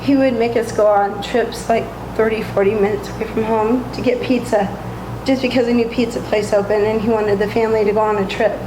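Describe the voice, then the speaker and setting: A woman speaks at a very fast pace in a flat monotone, with noticeable background noise and audible room echo. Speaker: bakery owner. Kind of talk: interview.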